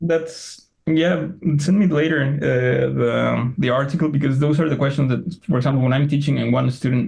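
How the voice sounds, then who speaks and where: A man's somewhat breathy, fairly high voice with a Spanish accent, ordinary pitch variation, very even loudness and a moderate pace. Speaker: Greek and Latin teacher. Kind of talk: casual interview conversation. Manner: halting, many fillers.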